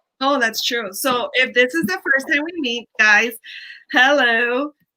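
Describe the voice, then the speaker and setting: A woman with an American accent speaks at a fairly slow pace in a raised, projected voice. Her high pitch carries a bright, sharp tone and ordinary pitch variation. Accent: Hialeah girl accent, remarked on. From Hialeah, Miami, Florida. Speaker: life coach. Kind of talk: casual chat. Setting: live stream.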